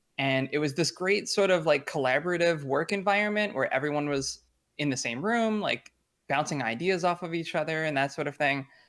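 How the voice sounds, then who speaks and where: In a normal speaking voice with an American accent and ordinary pitch variation, the speaker comes through on a very clean recording with a silent background. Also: man, fairly high pitch for a man. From US. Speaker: lead game designer. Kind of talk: interview. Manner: casual, many fillers.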